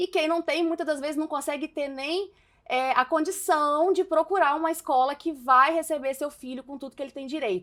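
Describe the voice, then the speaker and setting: With a Minas Gerais accent, a woman speaks at a high pitch and a moderate pace. Her pitch varies in an ordinary way while her loudness swings widely. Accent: Mineiro Brazilian Portuguese. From Minas Gerais, Brazil. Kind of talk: casual talk to camera while doing makeup. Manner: outspoken, a bit exaggerated.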